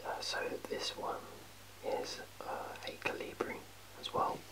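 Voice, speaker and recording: A man whispers at a fairly slow pace against noticeable background noise. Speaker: ASMR creator. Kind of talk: ASMR show-and-tell of a collection. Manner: whispered; casual, hesitant, many fillers.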